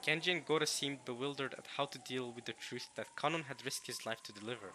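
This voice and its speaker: A man with a non-native accent talks at a fairly quick pace and medium pitch, with a bright, sharp tone and ordinary pitch variation. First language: not English. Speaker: let's play streamer. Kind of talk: reading aloud with commentary. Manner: animated.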